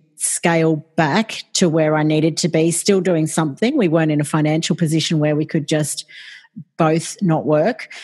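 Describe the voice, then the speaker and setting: A woman with an Australian accent, her pitch very deep and low, at a moderate pace with very even loudness, fairly even intonation and a calm tone. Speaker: podcast support business owner. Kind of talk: interview conversation.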